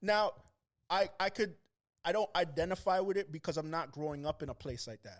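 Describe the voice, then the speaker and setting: With a Toronto accent, a man talks at a fairly quick pace in a high voice, his loudness swinging widely. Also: ordinary pitch variation. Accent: Toronto accent, sometimes taken for New York. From Toronto, Canada. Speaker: rapper. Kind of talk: casual chat. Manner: animated.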